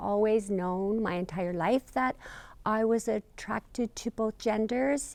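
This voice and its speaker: Against a silent background on a very clean recording, a woman talks at a very slow pace with a fairly high pitch and ordinary pitch variation. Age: 60s. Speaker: interviewee. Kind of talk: interview testimony. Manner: halting, many fillers.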